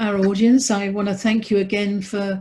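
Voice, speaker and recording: A somewhat breathy, dark and mellow voice in an English accent, monotone and flat in intonation, over a quiet background. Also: woman. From England. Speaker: business training host. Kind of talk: webinar training call.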